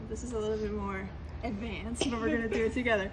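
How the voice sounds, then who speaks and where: A woman talks at a very fast pace. Audible room echo and noticeable background noise accompany her. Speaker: keyboard player and music director trainer. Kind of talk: tutorial. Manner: loud.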